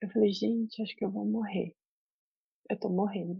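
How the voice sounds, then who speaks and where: A woman talks in a somewhat breathy voice. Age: 30s. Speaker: journalist and mother. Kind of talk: casual interview.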